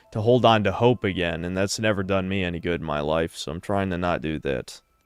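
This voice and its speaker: Music plays in the background as a man with a very deep, low pitch talks at a fairly quick pace with lively intonation. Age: 30s. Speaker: streamer. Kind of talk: casual chat.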